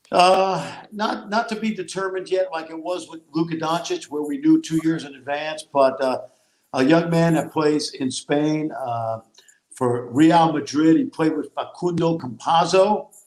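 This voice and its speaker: A man with a normal speaking voice talks fairly slowly at a fairly high pitch. His pitch varies in an ordinary way, while his loudness swings widely. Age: 60s. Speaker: college basketball analyst and former coach. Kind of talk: casual chat.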